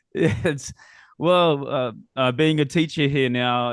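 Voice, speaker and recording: At a very slow pace, a man with a strong Australian accent speaks with ordinary pitch variation. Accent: Australian, still strong. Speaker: podcast host. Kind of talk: casual interview chat.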